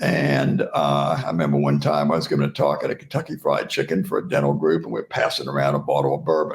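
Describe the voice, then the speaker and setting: Noticeable background noise sits behind a man speaking fairly quickly with a Southern US accent. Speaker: oral pathology professor and speaker. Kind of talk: interview storytelling.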